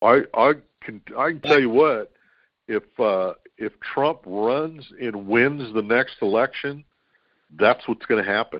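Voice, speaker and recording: Here a man talks in an ordinary speaking voice at a medium pitch. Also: ordinary pitch variation, fairly slow pace. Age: 60s. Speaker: co-host. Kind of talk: casual chat.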